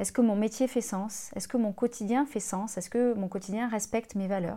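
On a very clean recording with a silent background, a woman with a dark, mellow tone and fairly high pitch talks at a fairly quick pace with fairly even intonation. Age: 30s. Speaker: life coach and podcast host. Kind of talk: scripted podcast monologue.

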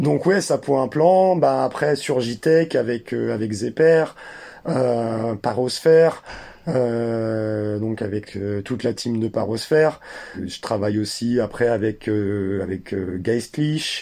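A man with a medium pitch and lively intonation talks at a very slow pace. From France, German mother and Algerian father. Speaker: 3D artist and documentary maker. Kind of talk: interview. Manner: halting, many repetitions.

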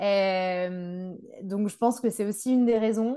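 Very slowly, a woman speaks in a medium pitch with a dark, mellow tone and fairly even intonation. The background is quiet. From Brittany, France. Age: 30s. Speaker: agronomist and expatriate. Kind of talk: casual interview. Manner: hesitant, many fillers.

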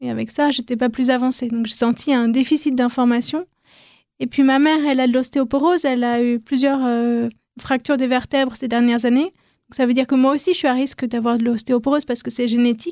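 A woman speaks at a fairly quick pace and high pitch with fairly even intonation, in a very clean recording with a silent background and a dry, close sound with no echo. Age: 40s. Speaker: podcaster, former journalist. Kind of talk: interview.

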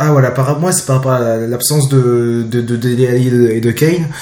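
A man speaks at a medium pitch and a fairly slow pace with hardly any pauses. His intonation stays fairly even. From France, Jura. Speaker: football podcast host. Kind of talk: casual chat. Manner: halting.

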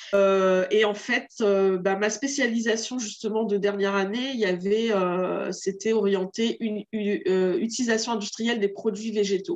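Delivery is fairly slow, with fairly even intonation and very even loudness. Noticeable background noise can be heard. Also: woman, fairly high pitch for a woman. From Réunion. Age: 40s. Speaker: entrepreneur. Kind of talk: interview.

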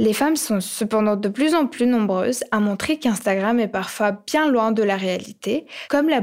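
A woman's fairly high pitch, a normal speaking voice, ordinary pitch variation, fairly slow pace. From Ukraine. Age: young. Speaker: podcast co-host. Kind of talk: scripted podcast narration.

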